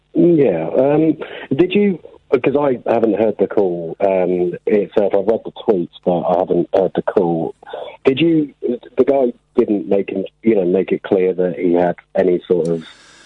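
Speaking at medium pitch, a man lets his voice swing very widely up and down. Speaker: caller. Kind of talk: casual chat. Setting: phone call.

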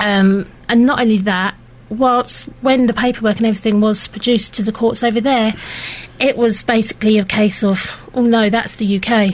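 A woman's monotone, flat voice at very even loudness, with noticeable background noise. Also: fairly high pitch for a woman, moderate pace. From Luton. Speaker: mother. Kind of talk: interview. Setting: studio. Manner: hesitant.

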